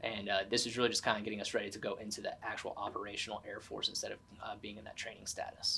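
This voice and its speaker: Very fast, a man speaks with an American accent and hardly any pauses. Noticeable background noise runs throughout. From Tennessee, USA. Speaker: Air Force veteran and college student. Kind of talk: oral history interview answer.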